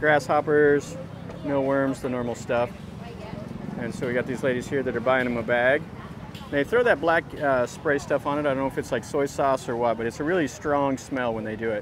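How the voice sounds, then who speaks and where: A man talks with fairly even intonation. The sound is dry with no echo, and there is noticeable background noise. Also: moderate pace. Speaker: travel vlogger. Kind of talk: casual vlog commentary. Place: market. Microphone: phone near.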